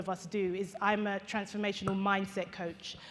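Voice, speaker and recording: A woman speaks with a British accent. She keeps a medium pitch and a fairly quick pace. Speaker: motivational speaker. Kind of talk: keynote talk. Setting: stage with audience. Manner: animated.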